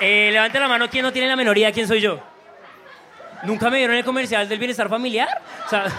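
Over crowd noise and audible room echo, a man with an extremely high pitch speaks in a raised, projected voice at a very fast pace, his tone animated and his speech cut by long, frequent pauses. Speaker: comedian. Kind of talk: stand-up warm-up. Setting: stage with audience.

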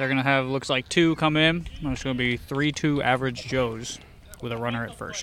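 A man with a medium-pitched voice speaks in an excited tone over noticeable background noise. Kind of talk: sports commentary. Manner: quick play-by-play, excited and joking.

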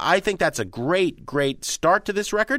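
A man's bright, sharp tone with vocal fry at a moderate pace, on a very clean recording with a silent background. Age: 40s. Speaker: music critic and radio host. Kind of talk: casual chat.

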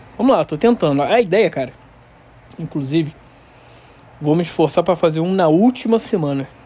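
Here a man speaks at a high pitch and a fairly quick pace with lively intonation and a relaxed tone. He leaves long, frequent pauses. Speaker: podcast host. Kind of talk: casual solo monologue. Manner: relaxed, informal.

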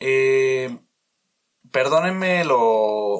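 A man is talking. His pitch variation is ordinary. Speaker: podcast host. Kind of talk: casual monologue. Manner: loud; halting.

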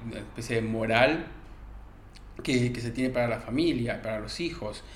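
Audible room echo carries a man's medium-pitched voice. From Argentina, rural interior. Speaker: podcast panelist. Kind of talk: casual discussion. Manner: halting, repeats words.

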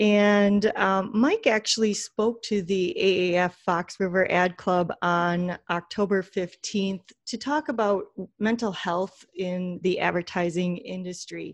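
With an American accent, a woman speaks at a fairly slow pace and medium pitch with ordinary pitch variation in an unremarkable speaking voice. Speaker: podcast host. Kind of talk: casual interview chat.

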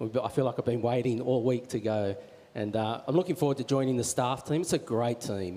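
At a fairly quick pace, a man with a medium pitch speaks with an Australian accent. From Australia, Wollongong. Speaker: church minister. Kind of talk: on-stage interview. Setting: church.

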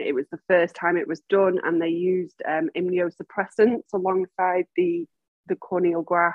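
With a Mancunian accent, a woman speaks in a fairly even intonation. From Manchester, England. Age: 40s. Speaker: massage therapist and facilitator, blind. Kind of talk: interview, personal story. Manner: halting, many fillers.

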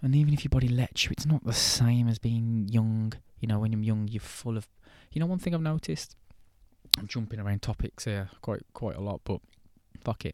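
On a very clean recording with a silent background and a dry, close sound without echo, a man with an English accent speaks at a fairly quick pace in a dark, mellow tone. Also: medium pitch for a man, ordinary pitch variation. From England. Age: 20s. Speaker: podcast host. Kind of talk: casual monologue. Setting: outdoors. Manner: halting.

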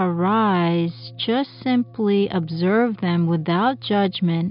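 Over music in the background, a woman speaks very slowly in a fairly low voice, gentle in tone and lively in intonation. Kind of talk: guided meditation. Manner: slow, calm and soothing, with long pauses between instructions; gentle, soft-spoken and even in tone.

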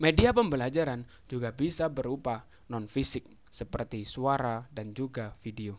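This is a man with an ordinary speaking voice. His pitch is medium with ordinary pitch variation, and his pace is moderate. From East Java, Indonesia (Jombang). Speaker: university student. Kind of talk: scripted educational explainer. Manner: formal.

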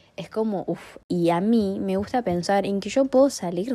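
A woman's dark, mellow tone. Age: young (19). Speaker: podcaster. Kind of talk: personal reflective monologue.

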